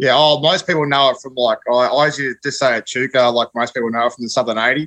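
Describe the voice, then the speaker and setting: Bright and sharp in tone, a man with an Australian accent talks at a fairly quick pace, his medium pitch varying in an ordinary way. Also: dry, close sound with no echo. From northern Victoria, Australia. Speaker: dairy farmer. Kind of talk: casual chat.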